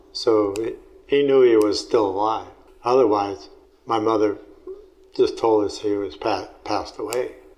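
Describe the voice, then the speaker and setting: A man talks at a moderate pace, leaving long, frequent pauses. The room echo is audible. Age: 80s+. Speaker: family elder interviewee. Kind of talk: oral history interview. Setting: at home. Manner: halting.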